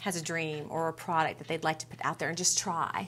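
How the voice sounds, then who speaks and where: The voice is an unremarkable speaking voice at a fairly quick pace. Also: woman. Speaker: TV show host. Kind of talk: TV interview show. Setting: studio.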